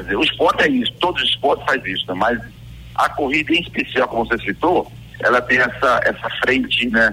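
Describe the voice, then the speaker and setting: A man speaks at a fairly quick pace with music playing in the background. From Pernambuco, Brazil (Bezerros). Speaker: retired Olympic runner, race organizer guest. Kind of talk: radio interview, casual chat. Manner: halting, repeats words.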